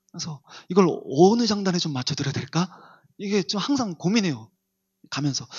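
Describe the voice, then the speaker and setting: Soft-spoken and high-pitched, a man talks at a fairly quick pace with lively intonation, broken by long, frequent pauses. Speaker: pastor. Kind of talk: sermon. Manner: varies between loud and soft.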